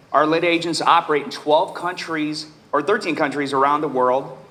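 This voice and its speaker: A man with an American accent speaks in a fairly even intonation, with audible room echo and noticeable background noise. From Nebraska, US Midwest. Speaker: real estate coach and author. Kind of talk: conference panel introduction. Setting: stage with audience.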